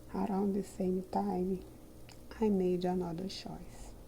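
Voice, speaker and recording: The speaker talks in a calm tone at a very slow pace. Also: woman. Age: 60s. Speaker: retired teacher. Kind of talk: personal reflection monologue.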